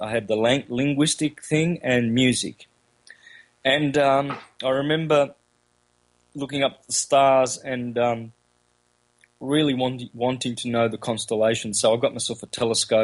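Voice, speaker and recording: With an Australian accent, a man speaks at a moderate pace and medium pitch, his intonation fairly even. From Australia, country Victoria. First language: Calabrian Italian dialect. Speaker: esoteric lecturer. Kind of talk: interview. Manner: halting, many fillers.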